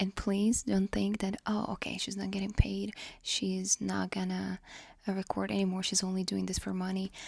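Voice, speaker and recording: A quiet woman at a moderate pace on a very clean recording with a silent background. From Ukraine. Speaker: vlogger. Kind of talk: casual chat.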